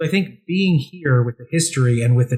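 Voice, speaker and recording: Fairly quick, somewhat breathy speech from a man at a medium pitch. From Pennsylvania. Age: 40s. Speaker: reporter and cartoonist. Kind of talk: interview. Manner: halting, many repeated words. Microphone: poor audio quality from technical issue.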